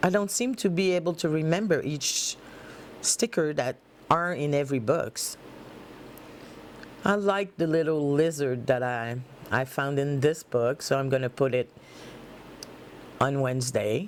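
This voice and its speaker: A woman with a French accent, very deep, low pitch, lively intonation and long, frequent pauses. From Quebec. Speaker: planner hobbyist vlogger. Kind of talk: tutorial. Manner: halting, searching for words.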